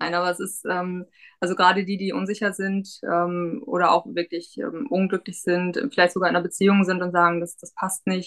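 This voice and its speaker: A woman talks at a very fast pace. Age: 30s. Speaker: pharmacy technician, coaching client. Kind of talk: interview.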